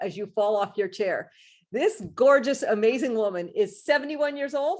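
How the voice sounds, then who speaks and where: A woman's animated voice at a fairly quick pace, with lively intonation over a quiet background. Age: 50s. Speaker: talk show host. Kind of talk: interview.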